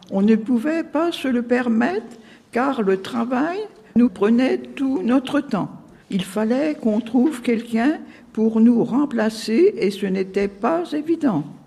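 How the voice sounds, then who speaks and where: With lively intonation and a high pitch, a woman talks at a very slow pace against noticeable background noise. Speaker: care home resident. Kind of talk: reading aloud a prepared text. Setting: live broadcast from a care home.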